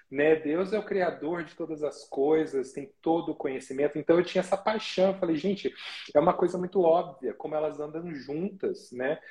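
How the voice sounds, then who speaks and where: The voice has a dark, mellow tone. Its loudness swings a lot. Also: man, fairly high pitch for a man, ordinary pitch variation, moderate pace. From Brazil, interior of São Paulo state. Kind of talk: casual live interview chat.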